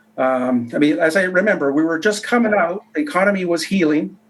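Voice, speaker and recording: A man talks in a plain, everyday voice at a moderate pace. His pitch varies in an ordinary way. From Canada. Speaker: economist. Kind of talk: interview.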